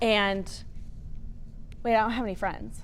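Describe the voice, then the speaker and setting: Speaking at a fairly quick pace in an animated tone, a woman is heard with audible room echo. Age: 50s. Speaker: school wellness coordinator and therapist. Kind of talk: parent presentation. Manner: loud.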